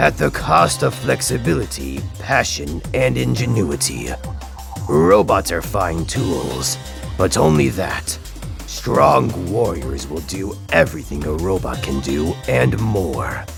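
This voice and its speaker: Over loud music in the background, a man uses a put-on character voice at a fairly slow pace. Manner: commanding.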